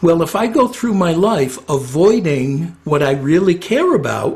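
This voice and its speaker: Lively intonation marks a man's fairly high-pitched voice. There is noticeable background noise. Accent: American. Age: 60s. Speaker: retired psychotherapist. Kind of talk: interview. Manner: hesitant, with filler words.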